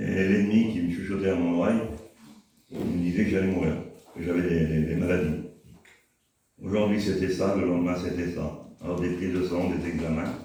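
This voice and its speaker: A man with a very deep, low pitch speaks at a moderate pace with fairly even intonation and long, frequent pauses. Audible room echo is present. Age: 60s. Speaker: church member. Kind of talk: testimony. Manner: halting.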